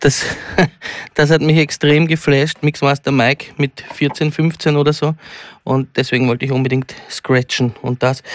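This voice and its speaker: The sound is dry and close with no echo. A man speaks at a fairly slow pace. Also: very clean recording, silent background. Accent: Viennese. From Austria, Vienna-Meidling and Lower Austria. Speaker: comedian and DJ. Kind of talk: comedy performance with DJ set. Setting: radio studio.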